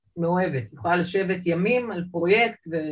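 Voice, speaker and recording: A woman speaks at a fairly quick pace with a fairly low pitch, ordinary pitch variation and a somewhat breathy voice. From Israel, Jerusalem (born in Saint Petersburg, immigrated 1978 as a child). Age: 50s. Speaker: artist. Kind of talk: interview. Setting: video call.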